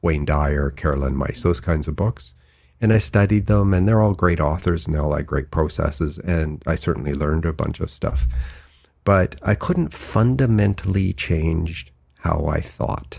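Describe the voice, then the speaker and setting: A man with a Canadian accent, very deep and low pitch, vocal fry and a moderate pace. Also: ordinary pitch variation. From Canada, near Vancouver. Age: 60s. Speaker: author and engineer. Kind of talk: interview.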